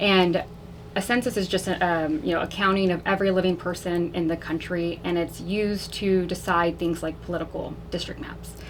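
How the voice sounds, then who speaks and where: At a moderate pace, a woman talks at medium pitch in a plain, everyday voice. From Texas, south side of San Antonio. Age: 30s. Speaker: political candidate. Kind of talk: radio interview. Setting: radio studio. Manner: casual, frequent fillers.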